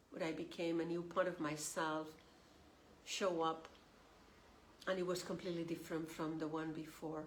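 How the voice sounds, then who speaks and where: Audible room echo surrounds a woman speaking at a fairly low pitch with monotone, flat intonation. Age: 60s. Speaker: tarot reader. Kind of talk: spiritual guidance talk.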